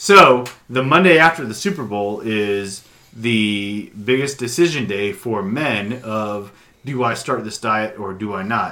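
A man speaks fairly slowly in a plain, everyday voice of medium pitch. His pitch varies ordinarily while his loudness swings widely. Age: 40s. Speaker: podcast co-host. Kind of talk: casual chat.

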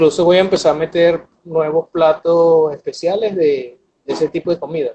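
A man speaks with a high pitch. His loudness swings widely. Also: fairly even intonation, moderate pace. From Venezuela, Barquisimeto (Lara state). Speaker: chef and restaurant owner. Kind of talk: interview.

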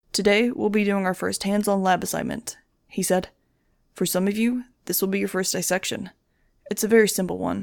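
In a natural reading voice with fairly even intonation, the speaker talks against a quiet background.

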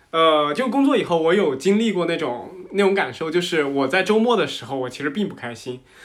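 Talking fairly quickly, a man uses a high pitch with very wide pitch swings. Noticeable background noise and audible room echo fill the recording. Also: hardly any pauses. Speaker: podcast host. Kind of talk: casual chat.

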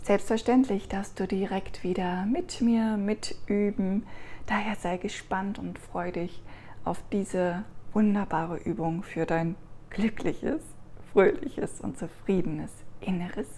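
A woman's soothing, warm, somewhat breathy voice at a medium pitch, with ordinary pitch variation and a very slow pace. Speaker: meditation guide. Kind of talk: guided meditation. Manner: slow, soft, soothing, warm and gentle.

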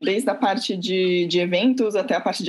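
A woman speaks fairly slowly in an unremarkable speaking voice. Her pitch is medium, with ordinary pitch variation. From Santos, São Paulo coast, Brazil. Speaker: cultural venue co-founder. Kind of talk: interview.

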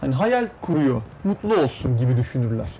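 A man's voice with very wide pitch swings and noticeable background noise. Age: young. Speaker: young music producer. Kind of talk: interview. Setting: studio.

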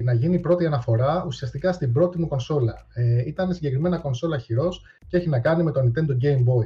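A man's somewhat breathy voice, medium in pitch, dark and mellow in tone, with ordinary pitch variation. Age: 30s. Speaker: YouTuber and retro gaming columnist. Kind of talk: casual chat.

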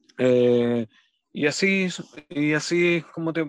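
The speaker is a man with a fairly high pitch. It shifts in an ordinary way. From Chile, Los Ángeles, Bío Bío region. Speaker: death metal musician and teacher. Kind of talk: radio interview. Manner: halting, many repetitions and fillers.

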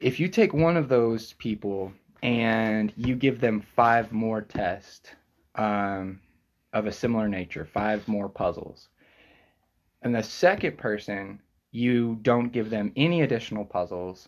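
On a very clean recording with a silent background, a man speaks fairly slowly at a medium pitch with ordinary pitch variation. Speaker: podcast host. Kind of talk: casual interview conversation.

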